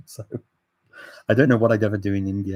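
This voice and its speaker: A man with a fairly low pitch is heard in a dry, close recording with no echo. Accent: English. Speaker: language learning channel host, polyglot. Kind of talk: live stream Q&A. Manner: animated; halting.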